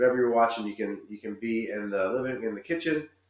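In a room with audible echo, a man talks at a very fast pace. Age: 40s. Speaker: real estate agent. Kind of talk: virtual home tour narration. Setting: screen-share video. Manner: casual and chatty. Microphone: webcam.

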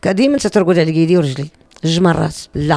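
A woman's lively intonation at a fairly quick pace, dry with no echo, over a quiet background. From Morocco. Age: 50s. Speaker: YouTuber and cemetery-cleanup volunteer; YouTuber. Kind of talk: personal testimony. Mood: earnest, animated storytelling. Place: home room. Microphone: handheld.

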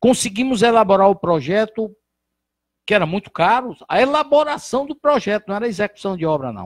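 A man with a high pitch talks at a fairly quick pace, his intonation lively. The sound is dry with no echo, and the background is quiet. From Brazil, Ceará (Santana do Acaraú); Ceará, Brazil. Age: 60s. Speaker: physician and former politician; former politician. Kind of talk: interview. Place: studio. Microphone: handheld.

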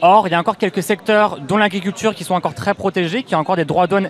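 A man's voice with ordinary pitch variation, a dry sound with no echo and light background noise. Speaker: campaign group spokesperson. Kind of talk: explanatory interview. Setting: outdoor street studio. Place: street. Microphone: handheld.

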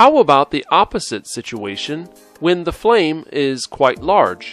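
The speaker talks at a fairly slow pace with an American accent and very wide pitch swings. The sound is dry and close with no echo, and music plays in the background. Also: man. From Missouri, USA. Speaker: English teacher. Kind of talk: ESL video lesson narration.

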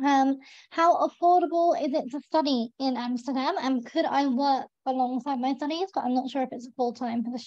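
A woman talks at a fairly quick pace with a high pitch and ordinary pitch variation. The sound is dry with no echo against a quiet background. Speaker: webinar host. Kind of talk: webinar moderation. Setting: video call. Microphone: video call.

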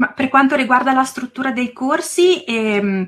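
A woman with an Emilian accent speaks in a bright, sharp tone, her pitch varying in an ordinary way. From northern Italy, province of Reggio Emilia. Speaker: preschool teacher and YouTuber. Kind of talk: interview.

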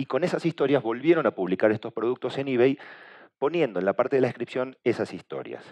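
A very fast-paced male speaker against a quiet background. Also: ordinary pitch variation. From Argentina. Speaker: communication agency director, conference speaker; conference speaker. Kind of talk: conference talk. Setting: stage with audience. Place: hall. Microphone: headset.

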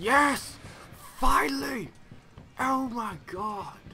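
A raspy, put-on character voice with a fairly high pitch carries an audible echo. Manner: excited, relieved.

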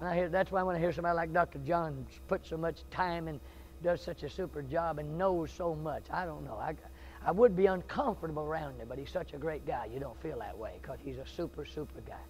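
Music plays in the background as a man with a Southern US accent speaks at a very fast pace with big swings in loudness. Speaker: Baptist preacher. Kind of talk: sermon, revival-style preaching with folksy humor early on. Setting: church with live congregation. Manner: animated, passionate, fervent, building to intense pleading; conversational, joking, self-deprecating, with audience interaction. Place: church.

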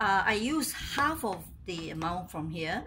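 There is noticeable background noise. Over it, a woman speaks at a very slow pace. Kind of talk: tutorial. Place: kitchen. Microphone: phone near.

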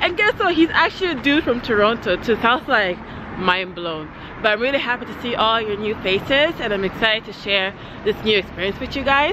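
Noticeable background noise sits under a woman speaking at a fairly quick pace. The sound is dry with no echo. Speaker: travel vlogger. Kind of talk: casual vlog chat. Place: street. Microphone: phone near.

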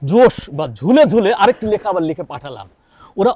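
Here a man's high-pitched voice carries a dark, mellow tone and very wide pitch swings. The sound is dry and close, with no echo. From Kushtia, western Bangladesh. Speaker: novelist and children's author. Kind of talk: interview.

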